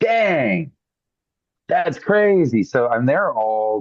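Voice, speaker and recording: A man speaks with very wide swings in pitch. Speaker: musician. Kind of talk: interview. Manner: halting, many fillers.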